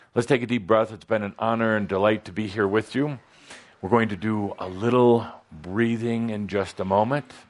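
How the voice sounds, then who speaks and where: Fairly even intonation from a man with an ordinary speaking voice, a fairly low pitch and a moderate pace. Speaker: spiritual channeler. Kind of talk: spiritual teaching session.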